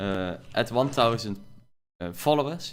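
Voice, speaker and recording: Over background music, a man talks with ordinary pitch variation. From Netherlands. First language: Dutch. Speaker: gaming streamer. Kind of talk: live gameplay stream chat. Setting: live stream. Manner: many filler words (uh, um).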